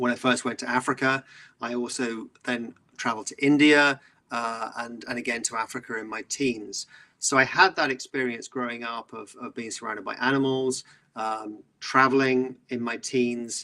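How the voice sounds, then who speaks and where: A man with a British accent talks at a moderate pace and medium pitch in a bright, sharp tone with monotone, flat intonation. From southeast England. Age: 50s. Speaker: environmental entrepreneur. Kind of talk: interview.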